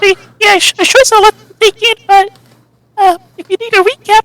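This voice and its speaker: A squeaky, put-on character voice from a woman, extremely high in pitch, at a moderate pace with fairly even intonation, big swings in loudness and a dry, close sound with no echo. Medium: actual play. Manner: warm, slightly rambling.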